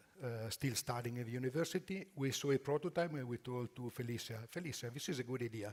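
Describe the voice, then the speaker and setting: This man talks at a fairly quick pace with an Italian accent and a medium pitch. His voice is somewhat breathy, with ordinary pitch variation. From Italy. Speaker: furniture company executive. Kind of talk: conference presentation. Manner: halting.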